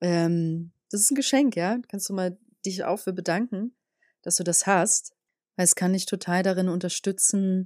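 A woman speaks at a very slow pace with a medium pitch. The sound is dry and close with no echo, and the recording is very clean with a silent background. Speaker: podcast host, spiritual energy coach. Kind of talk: solo podcast monologue. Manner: calm, measured.

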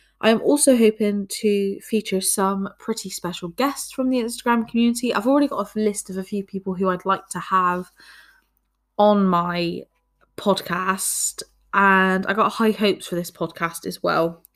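A woman speaks in a Bristol accent at a moderate pace, with ordinary pitch variation. The recording is very clean, with a silent background. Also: medium pitch for a woman. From Bristol, England. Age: 20s. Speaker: podcast host. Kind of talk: casual monologue.

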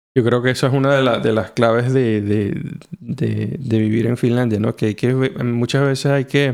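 This man has a normal speaking voice at a medium pitch, with fairly even intonation, a fairly slow pace and very even loudness. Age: 40s. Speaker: podcast host. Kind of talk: casual chat.

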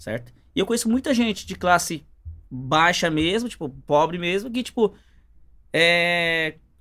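Lively intonation marks a man's high, bright, sharp voice. He leaves long, frequent pauses. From São Paulo, Brazil. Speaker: business owner. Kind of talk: casual interview. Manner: halting.

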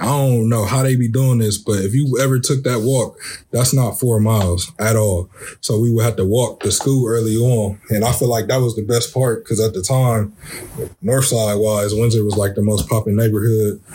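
This man has an unremarkable speaking voice with an American accent, a medium pitch, fairly even intonation, very even loudness and a moderate pace. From Columbus, Ohio, US Midwest. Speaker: podcast co-host and coach. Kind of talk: casual chat.

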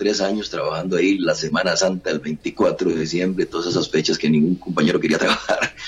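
A man speaks over noticeable background noise. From Costa Rica, San José. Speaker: journalist. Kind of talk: interview.

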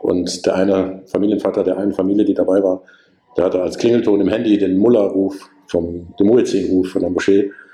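Noticeable background noise behind a man with a fairly low pitch and a fairly quick pace. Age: 50s. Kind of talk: casual interview.

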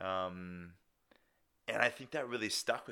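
The recording is very clean with a silent background. A man is speaking. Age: 20s. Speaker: podcast host and personal trainer. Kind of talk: casual solo monologue. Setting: home dining room. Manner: hesitant, many fillers.

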